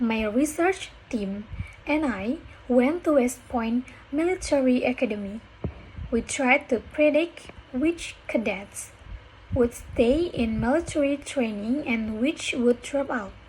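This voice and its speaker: Speaking at a very slow pace, a woman with a high pitch and ordinary pitch variation comes through over noticeable background noise. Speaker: university student. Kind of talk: reading a speech aloud for pronunciation practice. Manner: careful, deliberate.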